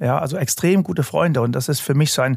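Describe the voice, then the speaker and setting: A man speaks at a very fast pace. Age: 40s. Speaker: hypnotist and construction industry lecturer. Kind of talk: casual chat.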